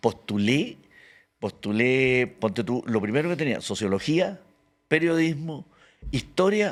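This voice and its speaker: A man talks very slowly with very wide pitch swings and long, frequent pauses, recorded very cleanly against a silent background. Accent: Chilean. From Chile, Santiago (born Antofagasta). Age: 70s. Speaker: actor and comedian. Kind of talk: casual interview chat.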